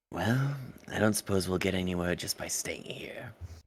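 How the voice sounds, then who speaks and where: In a raspy, put-on character voice, the speaker goes at a moderate pace with ordinary pitch variation. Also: man, fairly low pitch for a man. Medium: actual play. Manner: measured, dry, slightly formal.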